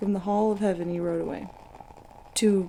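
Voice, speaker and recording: Quiet and calm, a woman speaks with fairly even intonation. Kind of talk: ASMR mythology reading. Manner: quiet, calm.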